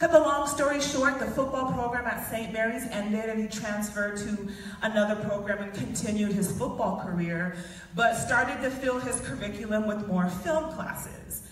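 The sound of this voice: With strong room echo, a woman speaks at a fairly high pitch and takes few pauses. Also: ordinary pitch variation, moderate pace.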